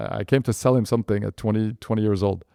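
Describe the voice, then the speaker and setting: A man with a French accent at a fairly quick pace, in a very clean recording with a silent background. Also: dry, close sound with no echo. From France, Paris suburbs. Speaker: entrepreneur. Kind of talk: interview storytelling. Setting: podcast interview. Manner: animated; halting, many fillers.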